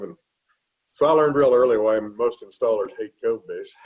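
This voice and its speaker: A man speaks at a moderate pace. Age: 60s. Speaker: flooring industry trainer and former dealer. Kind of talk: webinar panel discussion.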